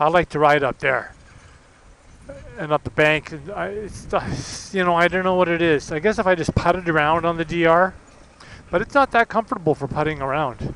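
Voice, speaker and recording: With ordinary pitch variation, a man with high pitch is heard in a dry, close sound with no echo, amid noticeable background noise. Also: moderate pace. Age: 60s. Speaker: motorcycle vlogger. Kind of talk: casual vlog monologue while riding.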